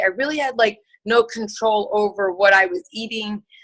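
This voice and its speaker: With a Chicago accent, a woman speaks using fairly even intonation. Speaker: nurse and network marketer. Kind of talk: testimony. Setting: video call. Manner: casual, many fillers.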